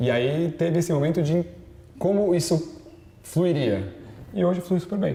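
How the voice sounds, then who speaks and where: High male voice with ordinary pitch variation and very even loudness, long, frequent pauses, and noticeable background noise. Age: 30s. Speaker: business executive. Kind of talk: interview. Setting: TV studio. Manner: fast.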